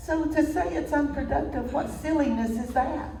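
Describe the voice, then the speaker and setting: A woman speaks at a fairly slow pace in a Tennessee accent, with audible room echo and noticeable background noise. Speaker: minister. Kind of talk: sermon.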